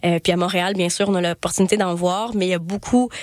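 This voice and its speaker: This woman speaks at a very fast pace with fairly even intonation. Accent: Quebec. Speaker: podcast host and festival programmer. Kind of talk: casual interview chat.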